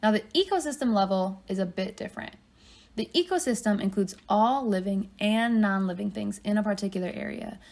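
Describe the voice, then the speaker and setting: A woman's somewhat breathy, medium-pitched voice at a moderate pace, with ordinary pitch variation. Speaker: college biology teacher. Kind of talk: lecture.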